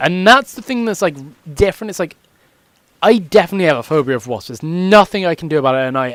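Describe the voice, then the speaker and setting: This man speaks at a high pitch. His voice makes very wide pitch swings. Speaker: gaming youtuber. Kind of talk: gameplay commentary. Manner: fast; casual.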